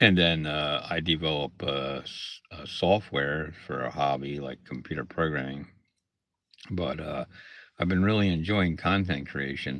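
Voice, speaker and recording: Over a quiet background, a man with a very deep, low pitch and vocal fry talks at a fairly slow pace, his loudness swinging widely. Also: ordinary pitch variation. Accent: Pennsylvania. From Pennsylvania (Lancaster area). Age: 60s. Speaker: content creator and arcade technician. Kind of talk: casual livestream talk. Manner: hesitant, many fillers.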